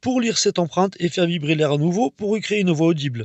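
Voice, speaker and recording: Speaking at a very fast pace, a man with a high-pitched voice uses ordinary pitch variation. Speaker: urban explorer and paranormal investigator. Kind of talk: on-location exploration vlog. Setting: inside an abandoned fort at night. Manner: soft-spoken; hesitant with fillers.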